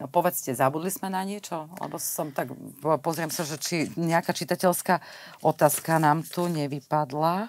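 A woman speaks in a normal speaking voice at a moderate pace, her pitch fairly low with ordinary variation. The sound is dry, with no echo. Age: 50s. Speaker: podcast host. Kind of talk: interview. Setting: recording in an arts venue. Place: studio. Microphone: lapel.

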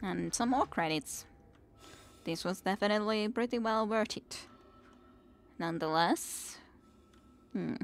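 A woman speaks at a fairly slow pace with long, frequent pauses. Her medium-pitched voice shows vocal fry and ordinary pitch variation.

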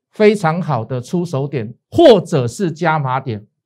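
Speaking at a very slow pace, a man with a Taiwanese accent has a fairly high pitch. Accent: Taiwanese Mandarin. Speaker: stock market analyst and show host. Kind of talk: financial analysis show with sales pitch. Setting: studio. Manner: animated, persuasive, colloquial.

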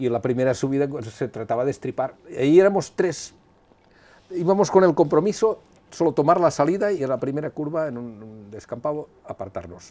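A fairly high, dark and mellow male voice at a fairly quick pace, with lively intonation and big swings in loudness. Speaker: retired rally driver; interviewee. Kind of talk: interview storytelling. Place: home room. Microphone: lapel.

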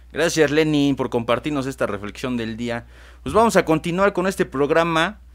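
A man with a fairly high pitch uses lively intonation at a moderate pace. The recording is very clean with a silent background. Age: 20s. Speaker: radio host, AA member, law graduate. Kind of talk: casual talk show discussion. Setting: studio. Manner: halting, repeats words.

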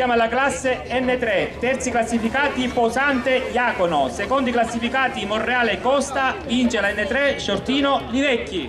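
An extremely high-pitched male voice at a fairly slow pace, with very even loudness, fairly even intonation and noticeable background noise. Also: hardly any pauses. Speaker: rally prize-giving announcer. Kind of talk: live award-ceremony announcement, calling out placings and directing winners for photos. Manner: informal and encouraging, joking with the crowd.

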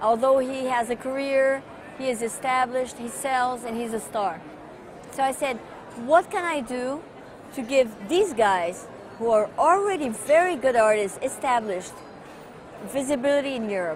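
A high-pitched woman in a Portuguese accent, at a moderate pace with lively intonation and long, frequent pauses, in a dry sound with no echo and light background noise. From Brazil, São Paulo. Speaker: art patron. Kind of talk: interview monologue. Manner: halting with fillers. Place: hall. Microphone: lapel.

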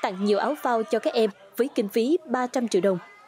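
Music plays in the background as a woman speaks at a very fast pace. Her pitch is fairly high, with lively intonation. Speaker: news narrator. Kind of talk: news reading.

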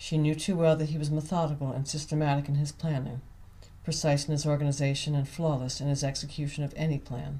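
Speaking at a fairly quick pace, a woman uses a very deep, low pitch with a dark, mellow tone and a somewhat breathy quality. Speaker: author reading own novel. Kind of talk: audiobook reading.

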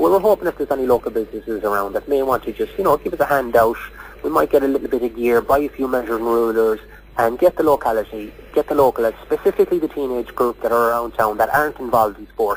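A man at a very fast pace, with ordinary pitch variation. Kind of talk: interview answer.

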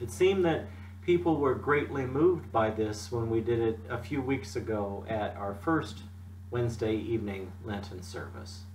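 A man with a fairly low pitch speaks at a moderate pace, leaving long, frequent pauses. Light background noise and audible room echo are present. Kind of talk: devotional talk. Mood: calm, gentle. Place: home room. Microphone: webcam.

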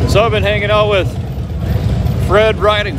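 The voice sounds dry with no echo, set against loud background noise. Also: man. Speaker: rally visitor vlogger. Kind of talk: casual vlog chat. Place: street. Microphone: phone near.

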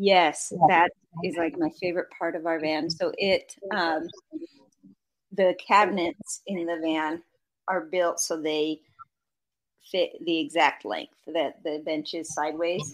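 A woman speaks in a fairly low voice with an American accent and fairly even intonation. Her pace is very slow, with long, frequent pauses. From Idaho. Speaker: van-travelling mother and social media creator. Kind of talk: casual interview chat.

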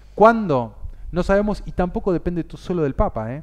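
Against a quiet background, a man talks at a high pitch with very wide pitch swings. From Argentina, Buenos Aires. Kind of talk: interview. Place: studio. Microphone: headset.

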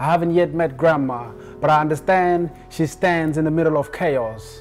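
Faint music plays behind a man's voice. He speaks at a moderate pace with a fairly high pitch. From South Sudan. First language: not English. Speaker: spoken word poet. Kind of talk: spoken word poetry performance. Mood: emotional, reflective, yearning.

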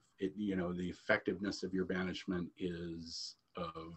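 A man's very deep, low voice at a moderate pace. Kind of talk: lecture. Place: home room. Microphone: webcam.

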